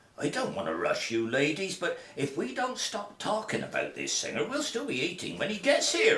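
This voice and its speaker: Using a put-on character voice, a man talks at a moderate pace with hardly any pauses. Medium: audio drama. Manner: teasing, jovial.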